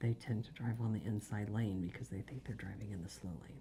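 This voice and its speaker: Her voice is very deep and low, with vocal fry. The woman is soft-spoken. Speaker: death investigator. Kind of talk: storytelling, answering interview questions, soft-spoken ASMR.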